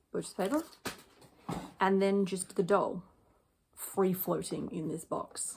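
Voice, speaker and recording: A quiet woman's voice at medium pitch, with ordinary pitch variation, a fairly slow pace, and long, frequent pauses. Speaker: doll collector vlogger. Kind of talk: casual chat.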